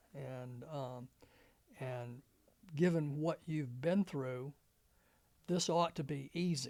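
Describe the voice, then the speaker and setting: Spoken in an Alabama accent, the delivery is very slow, with long, frequent pauses. The pitch varies in an ordinary way. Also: man, fairly high pitch for a man. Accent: Southern US (Alabama). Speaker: war veteran. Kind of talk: oral history interview. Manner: halting.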